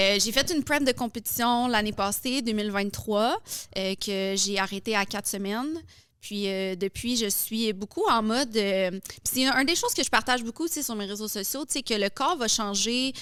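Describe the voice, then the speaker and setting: Fairly high in pitch, a woman with an unremarkable speaking voice talks at a moderate pace. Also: ordinary pitch variation. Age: 30s. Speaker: fitness influencer and coach. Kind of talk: podcast interview. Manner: casual, many fillers.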